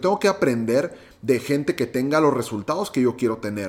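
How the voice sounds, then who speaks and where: The pace here is moderate. A man talks at a medium pitch. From Mexico, Monterrey, Nuevo León. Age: 20s. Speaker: podcast host, entrepreneur. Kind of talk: solo podcast monologue.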